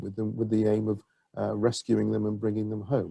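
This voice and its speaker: A man speaks at a fairly quick pace in a fairly low, somewhat breathy voice, with a dry, close sound and no echo. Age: 60s. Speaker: public health official. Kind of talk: webinar Q&A answer. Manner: halting.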